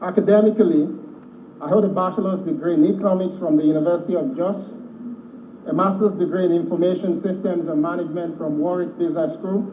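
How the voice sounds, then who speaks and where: There is noticeable background noise and audible room echo behind this man. He speaks at a very fast pace in a high pitch with ordinary pitch variation. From Nigeria, Lagos and Ogun State. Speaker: ministerial nominee. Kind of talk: formal prepared statement at a hearing. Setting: legislative chamber. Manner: formal.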